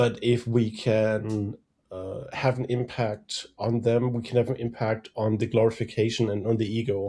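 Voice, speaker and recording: With a German accent, a man talks at a moderate pace in a dark, mellow, somewhat breathy tone, his intonation monotone and flat, on a very clean recording with a silent background. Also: medium pitch for a man. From Germany. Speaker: threat intelligence strategist. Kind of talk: podcast interview.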